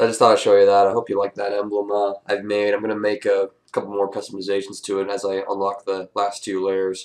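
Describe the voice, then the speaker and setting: At a very fast pace and with hardly any pauses, a man speaks in a fairly low pitch. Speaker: gaming commentator. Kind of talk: gameplay commentary. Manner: casual, hesitant with fillers.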